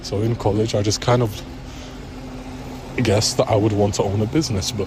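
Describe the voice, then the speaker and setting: Through noticeable background noise and audible room echo, a man speaks at a fairly low pitch. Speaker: vlogger. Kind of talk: personal vlog rant. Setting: in public. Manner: hushed, low voice; hesitant, filler-heavy. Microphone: bad mic quality.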